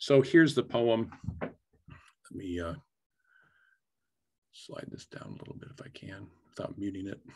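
With a Midwestern American accent, a man speaks in a fairly low, somewhat breathy voice with lively intonation. He leaves long, frequent pauses. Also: moderate pace, quiet background. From Iowa. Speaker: photographer and poet, creative writing professor. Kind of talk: artist talk presentation. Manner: casual. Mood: relaxed, enthusiastic. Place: home room. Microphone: webcam.

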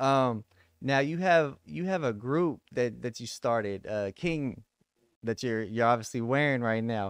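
In a Texan accent, a man speaks at a fairly slow pace with lively intonation, in a dry sound with no echo against a quiet background. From Texas. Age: 30s. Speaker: podcast host. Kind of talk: casual interview. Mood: calm, earnest. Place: home room. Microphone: studio mic.

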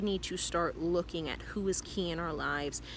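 A woman is speaking. The sound is dry with no echo, with light background noise. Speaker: vlogger. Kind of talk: casual vlog chat. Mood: earnest, reflective. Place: garden. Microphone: phone near.

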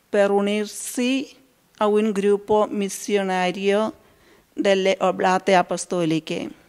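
Against a quiet background, a woman with an Indian accent speaks at a very slow pace and a medium pitch. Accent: Indian-accented Italian. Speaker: consecrated laywoman. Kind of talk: testimony. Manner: halting. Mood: calm, earnest. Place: church. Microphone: handheld.

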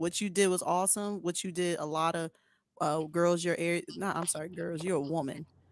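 The dry, close sound with no echo carries a woman's fairly low pitch, fairly even intonation, and moderate pace.

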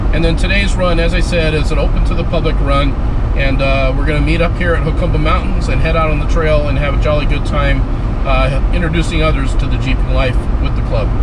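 Loud background noise accompanies a man speaking at a very fast pace. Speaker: off-road vlogger. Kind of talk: casual vlog chat. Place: car. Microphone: camera far.

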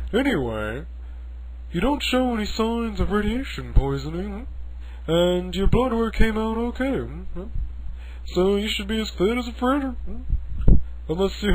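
The speech moves at a moderate pace, broken by long, frequent pauses. Background noise is clearly heard. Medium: audio drama.

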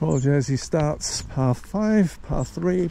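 Against noticeable background noise, a man with a fairly high voice talks at a very slow pace with lively intonation. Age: 60s. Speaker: walking vlogger. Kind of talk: casual vlog narration while walking. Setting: outdoors.

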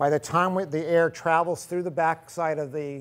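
Speech moves at a fairly quick pace. The intonation is fairly even. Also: man. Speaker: equipment demonstrator. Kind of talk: tutorial. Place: workshop.

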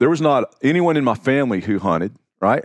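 A man speaks at medium pitch. His pitch swings very widely. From US South. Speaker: outdoor writer. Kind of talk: casual chat.

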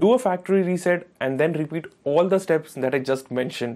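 Fairly quick delivery in a dark, mellow tone, pitch varying in an ordinary way. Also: man, fairly high pitch for a man.

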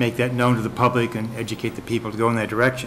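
Light background noise sits behind a man who talks very fast. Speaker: resident giving public comment. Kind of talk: public comment at a meeting. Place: meeting room. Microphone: podium.

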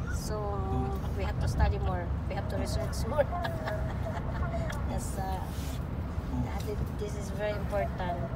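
A woman talks at a moderate pace, leaving long, frequent pauses. Loud background noise runs underneath. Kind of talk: casual vlog chat. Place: car. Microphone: phone near.

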